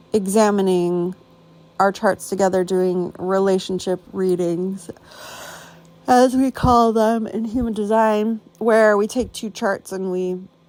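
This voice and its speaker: At a fairly slow pace, a woman talks at medium pitch. She has a normal speaking voice with fairly even intonation. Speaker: human design coach and podcaster. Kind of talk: casual podcast voice note. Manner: casual, chatty.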